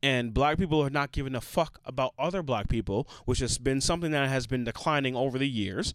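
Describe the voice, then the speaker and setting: In a very clean recording with a silent background, a man speaks at a fairly high pitch and moderate pace in an unremarkable speaking voice with ordinary pitch variation. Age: 30s. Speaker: podcast co-host. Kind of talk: casual chat.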